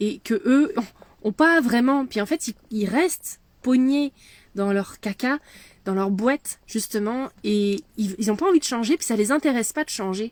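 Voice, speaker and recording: Fairly high-pitched woman with a Quebec accent, fairly slow and lively in intonation, in a dry, close sound with no echo. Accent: French with Quebec intonations. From France. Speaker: medium and leadership mentor. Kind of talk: casual chat. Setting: in a van.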